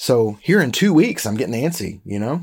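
A man's fairly quick, vocal-fried delivery with very wide pitch swings. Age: 40s. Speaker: bible teacher and filmmaker. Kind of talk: bible teaching lecture. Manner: casual with fillers.

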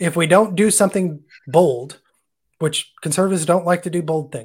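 Speaking with an American accent, a man uses a high pitch and ordinary pitch variation. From Oklahoma, US. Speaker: career teacher. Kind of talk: live-streamed interview.

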